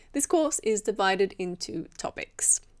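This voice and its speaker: A woman speaks at a very slow pace in a very clean recording with a silent background. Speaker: English teacher. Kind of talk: tutorial. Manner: clear.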